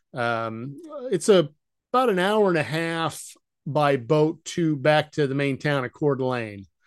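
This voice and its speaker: Over a quiet background, a man with an American accent has an ordinary speaking voice, fairly high in pitch with lively intonation. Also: fairly slow pace. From Idaho, US. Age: 50s. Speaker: retired engineer and vacation rental owner. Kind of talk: casual interview.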